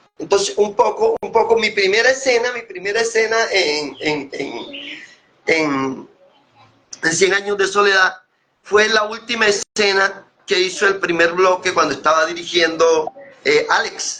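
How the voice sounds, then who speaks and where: A raised, projected voice moves at a fairly slow pace with ordinary pitch variation. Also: man, high pitch for a man. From Colombian Caribbean, Córdoba. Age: 60s. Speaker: actor and playwright. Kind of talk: interview.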